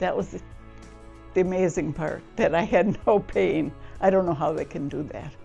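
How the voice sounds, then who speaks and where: With music in the background, a woman talks at a moderate pace, leaving long, frequent pauses, her loudness swinging widely. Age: 80s+. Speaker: hip replacement patient. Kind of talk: patient testimonial interview answer.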